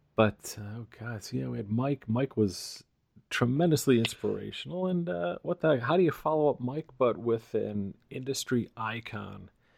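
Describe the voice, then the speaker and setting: With an American accent, a man uses an ordinary speaking voice at medium pitch, speaking at a moderate pace with lively intonation. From US East Coast. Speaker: podcast host. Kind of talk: casual chat.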